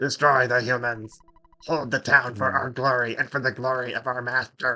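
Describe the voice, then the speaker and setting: The pace is moderate. The voice is a put-on character. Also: man, medium pitch for a man. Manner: menacing, commanding.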